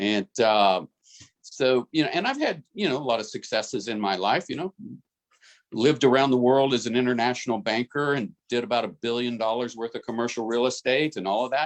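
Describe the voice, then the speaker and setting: At a fairly quick pace, a man talks in an ordinary speaking voice of medium pitch with ordinary pitch variation, recorded dry and close with no echo. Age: 60s. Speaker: business team member, former international banker. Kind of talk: group video call discussion. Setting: group call.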